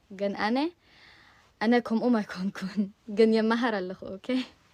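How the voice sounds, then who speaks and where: With an ordinary speaking voice, a woman talks fairly slowly at a fairly high pitch with ordinary pitch variation. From US, Virginia. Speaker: language learner vlogger. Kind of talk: casual multilingual self-introduction.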